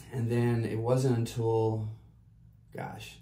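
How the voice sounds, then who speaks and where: A medium-pitched male voice with monotone, flat intonation, plus audible room echo and noticeable background noise. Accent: American. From US South, South Carolina. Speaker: artist and entrepreneur. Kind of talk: casual interview.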